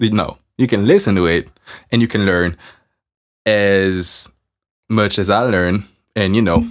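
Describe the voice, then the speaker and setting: Fairly slow speech with a French accent and ordinary pitch variation, in a very clean recording with a silent background. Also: man. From France or French-speaking region. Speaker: podcaster and musician. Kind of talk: casual motivational talk. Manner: casual, conversational with fillers.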